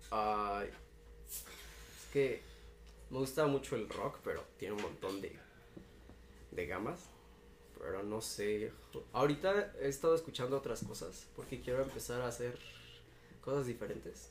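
A man talks at a fairly slow pace, stopping often for long pauses. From Cuernavaca, Mexico. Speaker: indie musician. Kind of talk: casual interview.

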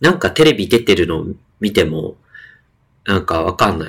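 This man talks at a moderate pace. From Sasebo, Nagasaki, Japan. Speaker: podcast co-host. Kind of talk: casual chat.

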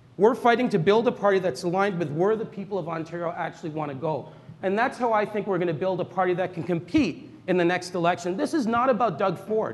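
A man talks at a very fast pace with hardly any pauses, his high voice showing ordinary pitch variation. Audible room echo surrounds him. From Toronto, Canada. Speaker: politician. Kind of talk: political debate. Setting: stage with audience.

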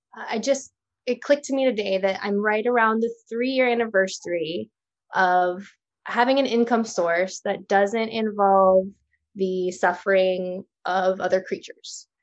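A woman's normal speaking voice at medium pitch, in an American accent, with ordinary pitch variation and a fairly slow pace. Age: 30s. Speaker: small business owner. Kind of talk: casual interview.

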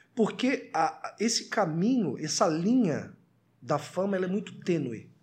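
His pitch high and his intonation lively, a man speaks fairly slowly in an animated tone. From Florianópolis, southern Brazil. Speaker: TV presenter and rapper. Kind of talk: podcast interview.

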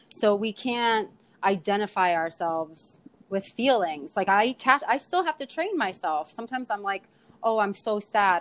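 Her pitch medium and her intonation lively, a woman speaks at a fairly slow pace. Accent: New York. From New York, Queens (Astoria). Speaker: poet and tarot card reader. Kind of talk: casual chat.

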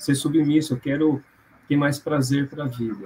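Somewhat breathy, a man speaks at a moderate pace in a fairly high pitch. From Londrina, Paraná, Brazil. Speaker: physiotherapist and postgraduate lecturer. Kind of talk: casual interview on emotional origin of symptoms. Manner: hesitant, many fillers.

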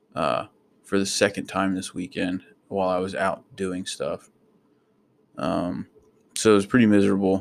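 In an ordinary speaking voice with an American accent, the speaker keeps a moderate pace and fairly even intonation, on a very clean recording with a silent background and a dry, close sound with no echo. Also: man. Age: 20s. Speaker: podcaster, soldier. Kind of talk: casual monologue. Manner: rambling with many fillers.

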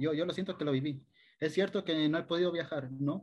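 A man talks at a very fast pace with a fairly high pitch. He speaks in a coastal Ecuadorian accent. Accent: Ecuadorian coastal (costeño). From Ecuador, coastal El Oro province (Machala). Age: 20s. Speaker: youth service club volunteer leader. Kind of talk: interview conversation.

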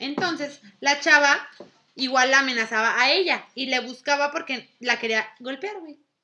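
A woman's raised, projected voice, high in pitch, fairly slow, with ordinary pitch variation. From northern Mexico, Durango. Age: 20s. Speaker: chef. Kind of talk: casual chat.

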